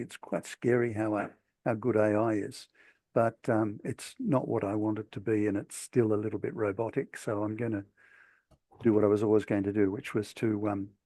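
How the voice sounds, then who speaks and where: In a dry, close sound with no echo and a quiet background, a man speaks with an Australian accent. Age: 60s. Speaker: author. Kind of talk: talk. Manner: halting.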